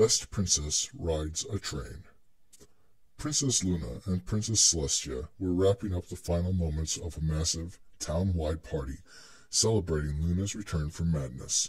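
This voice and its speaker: Somewhat breathy, a man speaks with a very deep, low pitch and ordinary pitch variation. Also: very clean recording, silent background. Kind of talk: dramatic reading of fan fiction.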